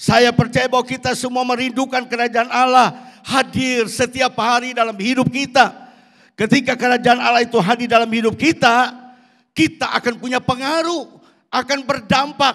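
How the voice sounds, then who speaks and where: Here a man talks at an extremely high pitch and a moderate pace. His intonation is monotone and flat. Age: 60s. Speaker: pastor. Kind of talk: sermon.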